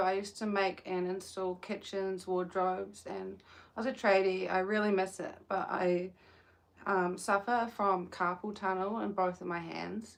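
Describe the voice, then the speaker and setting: A woman with a New Zealand accent speaks at a medium pitch and a fairly slow pace. Her intonation is fairly even. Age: 20s. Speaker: livestreamer crocheting, caregiver. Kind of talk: casual live stream chat. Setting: outdoors in the sun.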